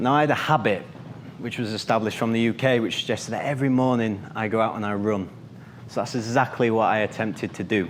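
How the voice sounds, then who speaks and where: Through noticeable background noise and audible room echo, a man talks at a medium pitch with fairly even intonation. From northern England. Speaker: finance professional giving a club speech. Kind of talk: prepared speech. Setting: stage with audience.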